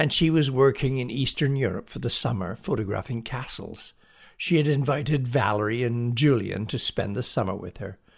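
Natural reading voice, pitch varying an ordinary amount.

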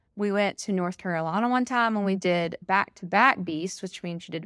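The recording is very clean, with a silent background. A woman talks at a fairly quick pace in a Southern US accent. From Alabama. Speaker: teacher and amateur ultra-runner. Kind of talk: casual interview chat. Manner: animated.

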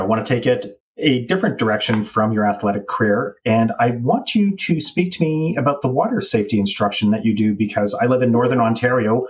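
A man's somewhat breathy, medium-pitched voice with a Canadian accent, fairly quick pace and ordinary pitch variation. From Canada. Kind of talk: casual chat.

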